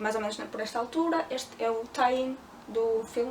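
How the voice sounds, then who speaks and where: A woman with a high pitch speaks over noticeable background noise. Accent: European Portuguese. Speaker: book youtuber. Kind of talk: book review vlog. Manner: hesitant with filler sounds.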